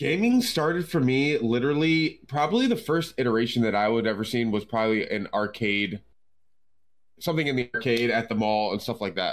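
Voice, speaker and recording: In a very clean recording with a silent background, a man with an unremarkable speaking voice talks fairly quickly at medium pitch with ordinary pitch variation. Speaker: drummer, gamer and streamer. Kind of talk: casual chat.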